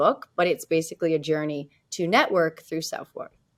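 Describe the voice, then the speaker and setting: A plain, everyday voice with a Canadian accent and fairly even intonation. The recording is very clean, with a silent background. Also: woman. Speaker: realtor and author. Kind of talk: interview. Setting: podcast.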